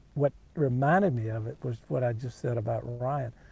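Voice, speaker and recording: With a dark, mellow tone and a somewhat breathy quality, a man talks at a moderate pace in a medium pitch with ordinary pitch variation. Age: 50s. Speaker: former tech company CEO. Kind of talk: casual interview.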